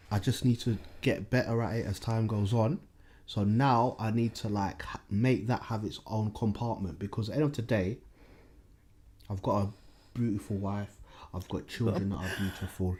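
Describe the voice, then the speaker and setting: Somewhat breathy and dark, mellow in tone, a man with a London accent talks at a moderate pace with ordinary pitch variation and long, frequent pauses. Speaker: podcast host. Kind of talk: casual chat. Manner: frequent fillers, says like a lot.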